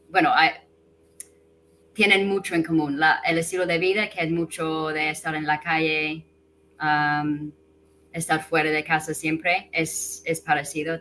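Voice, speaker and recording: In an English accent, a woman speaks at a fairly slow pace with long, frequent pauses and a monotone, flat intonation. Her very deep, low pitch carries a bright, sharp tone. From England. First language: English (speaking Spanish). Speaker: guest, expat language learner. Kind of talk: casual interview.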